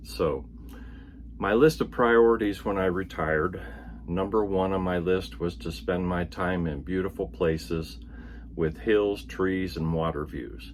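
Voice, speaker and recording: A man talks with a very deep, low pitch and vocal fry. His pitch swings very widely. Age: 70s. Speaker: retired Navy veteran vlogger. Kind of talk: personal vlog monologue.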